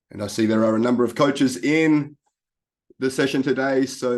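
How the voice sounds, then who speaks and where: A man speaks with an Australian accent at a moderate pace. His intonation stays fairly even against a quiet background. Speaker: life coach. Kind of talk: presentation.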